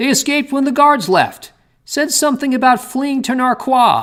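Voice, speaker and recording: At a moderate pace, a man puts on a character voice pitched extremely high. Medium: read story.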